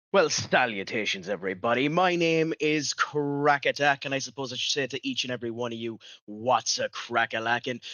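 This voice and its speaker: In an Irish accent, a man talks at a fairly quick pace with ordinary pitch variation. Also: medium pitch for a man. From Ireland. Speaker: streamer. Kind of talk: casual chat. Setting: live stream.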